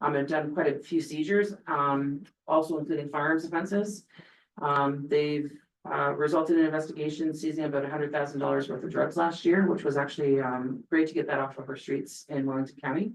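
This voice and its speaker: A woman at a fairly quick pace, with a very deep, low pitch. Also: ordinary pitch variation. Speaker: police officer. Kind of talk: council meeting report. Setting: council meeting. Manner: fast; hesitant, many fillers.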